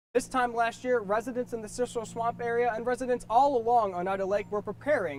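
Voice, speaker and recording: A man's very fast speech against noticeable background noise. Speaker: TV news reporter. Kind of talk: TV news report.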